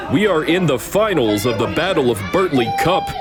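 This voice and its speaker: Music plays in the background as a man talks at a moderate pace. His intonation is lively. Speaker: amateur wrestling commentator. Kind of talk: improvised play-by-play sports commentary.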